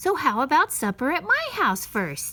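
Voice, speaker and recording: At a moderate pace, a put-on character voice from a woman pitched high. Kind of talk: bedtime story. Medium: read story.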